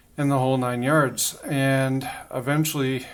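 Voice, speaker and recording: Over noticeable background noise, a man talks very slowly at a medium pitch. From Canada. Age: 40s. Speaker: video blogger. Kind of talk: casual monologue. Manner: halting, many fillers.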